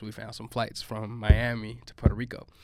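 Speaking with a Chicago accent, a man keeps a medium pitch. His pace is fairly quick. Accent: Chicago American English. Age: 20s. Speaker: reggaeton artist. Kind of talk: casual chat.

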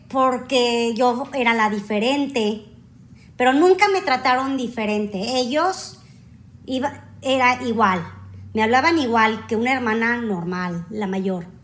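The speech comes very slowly. There is audible echo from the room. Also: woman, high pitch for a woman, lively intonation. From Mexico. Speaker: airline customer service agent. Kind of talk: interview.

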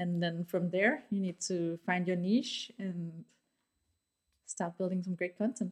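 A woman speaks with a Danish accent at a medium pitch. Her pace is fairly slow, with ordinary pitch variation. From Denmark, Aarhus. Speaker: marketing agency founder and CEO. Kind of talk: interview. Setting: studio.

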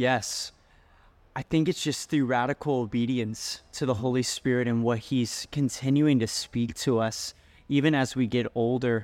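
In a plain, everyday voice, a man speaks at a medium pitch and a moderate pace with fairly even intonation, on a very clean recording with a silent background. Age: 20s. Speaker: youth pastor. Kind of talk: testimony.

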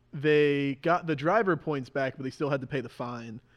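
The speaker is a man with an ordinary speaking voice at medium pitch. His pitch variation is ordinary, and the background is quiet. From New Jersey, US (Mahwah). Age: 20s. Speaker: professional racing driver. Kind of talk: casual interview.

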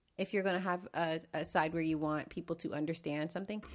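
A woman's fairly low-pitched voice is heard in a very clean recording with a silent background. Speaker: guest, social media manager. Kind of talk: casual chat. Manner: animated.

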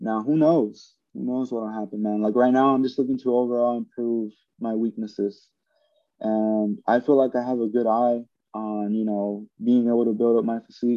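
A man talks in a flat monotone at a medium pitch and a moderate pace. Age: 20s. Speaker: bodybuilder and fitness coach. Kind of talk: casual interview.

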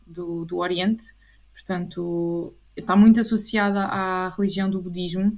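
Somewhat breathy, this speech keeps a fairly even intonation. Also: woman. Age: 20s. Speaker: clinical psychologist. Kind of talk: interview.

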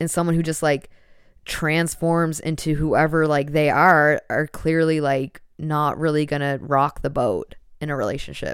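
On a very clean recording with a silent background, a woman speaks at a fairly slow pace with a very deep, low pitch. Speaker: podcast host. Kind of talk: casual solo monologue. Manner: casual, profane, animated; loud talker.

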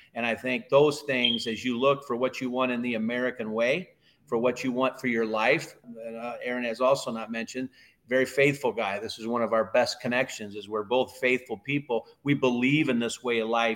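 A man with an ordinary speaking voice talks at a moderate pace in a medium pitch, his intonation fairly even. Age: 50s. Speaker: cattle consultant. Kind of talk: casual chat.

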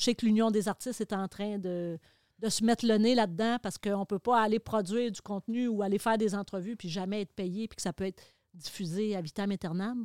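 A woman speaks at a medium pitch with fairly even intonation and a fairly quick pace. The sound is dry and close with no echo, a very clean recording over a silent background. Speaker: television host. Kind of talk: casual chat.

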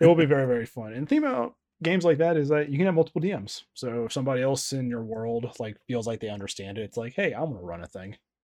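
Here a man talks at a very fast pace. His intonation is lively. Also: very clean recording, silent background. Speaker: podcast host and editor. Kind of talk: casual chat.

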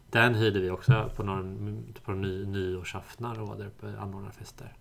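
A man speaks in a fairly low-pitched voice. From Sweden, Småland (Ingatorp near Eksjö). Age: 30s. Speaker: podcast host. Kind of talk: casual chat.

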